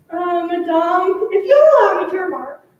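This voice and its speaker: Putting on a character voice, a woman speaks in a squeaky, extremely high pitch at a moderate pace with a clear echo. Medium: stage play. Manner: measured, sensible.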